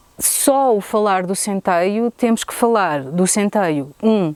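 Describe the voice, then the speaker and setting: A woman speaks at a medium pitch with a dark, mellow tone and lively intonation, her voice dry and close with no echo. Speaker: tourism business owner. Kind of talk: interview testimony. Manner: halting.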